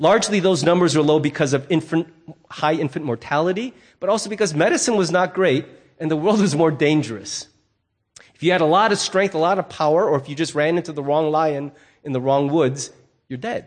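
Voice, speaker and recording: With an ordinary speaking voice, a man talks at a fairly quick pace in a fairly high pitch with ordinary pitch variation against a quiet background. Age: 50s. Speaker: pastor. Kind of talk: sermon. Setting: church.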